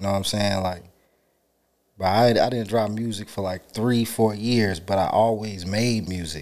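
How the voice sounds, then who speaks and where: Audible room echo surrounds a man whose fairly low pitch and fairly even intonation come at a moderate pace. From Charlotte, North Carolina, US South. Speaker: audio engineer and rapper. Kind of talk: casual chat.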